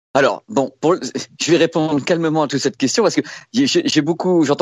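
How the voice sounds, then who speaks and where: A man talks fairly quickly in an animated, fairly high voice with vocal fry and very wide swings in pitch. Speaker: tech journalist. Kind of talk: casual chat.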